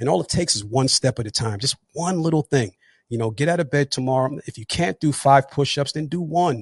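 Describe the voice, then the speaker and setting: A man with a New Jersey accent, fairly high pitch and somewhat breathy voice, lively intonation at a fairly quick pace, in a dry, close sound with no echo against a quiet background. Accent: New Jersey American. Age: 40s. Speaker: retired police officer and motivational speaker. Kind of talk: interview testimony. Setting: live online podcast.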